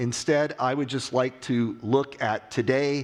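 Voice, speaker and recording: This man has an unremarkable speaking voice, medium in pitch, with an American accent. He talks at a fairly slow pace. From US, West Virginia. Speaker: industry analyst. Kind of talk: conference keynote. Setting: stage with audience.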